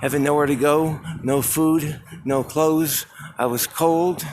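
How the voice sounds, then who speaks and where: Noticeable background noise surrounds a man's voice. He talks at a very slow pace with a fairly high pitch. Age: 40s. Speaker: vlogger. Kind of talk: walking vlog monologue. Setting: outdoors, walking. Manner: halting.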